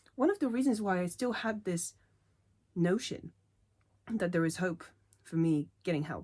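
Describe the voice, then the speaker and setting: Here a woman with a non-native accent speaks at a medium pitch, her tone dark and mellow. Her intonation is lively, broken by long, frequent pauses. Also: moderate pace. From Poland. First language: not English. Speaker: linguistics doctoral student. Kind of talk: unscripted opinion rant to camera.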